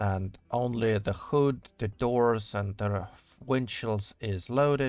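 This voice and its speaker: Over music in the background, a man with a strong non-native accent speaks very slowly at a medium pitch with fairly even intonation. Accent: thick non-native English. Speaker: game modder streamer. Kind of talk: live stream commentary while working. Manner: casual, hesitant with fillers.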